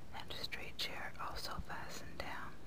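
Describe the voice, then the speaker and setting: A woman whispers in a soothing tone at a fairly slow pace. Noticeable background noise is present. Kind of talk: whispered audiobook reading of a novel. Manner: whispered, soothing.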